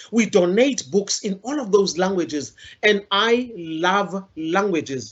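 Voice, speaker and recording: With a South African accent, a woman speaks at a fairly slow pace in a passionate tone, with ordinary pitch variation. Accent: South African, Zulu-speaking. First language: isiZulu. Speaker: storyteller and literacy campaigner. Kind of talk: inspirational talk.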